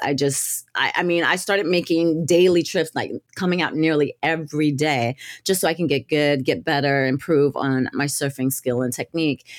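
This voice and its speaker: In a normal speaking voice, a woman talks at a moderate pace with ordinary pitch variation, on a very clean recording with a silent background. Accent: American. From US South, northwest Florida Gulf Coast. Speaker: community outreach director and surf and climbing instructor. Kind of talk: podcast interview.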